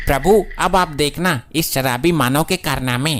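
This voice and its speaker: In a cartoonish character voice, the speaker uses a low-to-middle pitch at a moderate pace. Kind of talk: formal mythic Hindi. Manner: deferential, gossipy.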